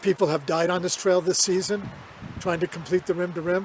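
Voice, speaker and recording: Through noticeable background noise comes a man's voice with high pitch. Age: 70s. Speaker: hiker. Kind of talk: casual talk to camera.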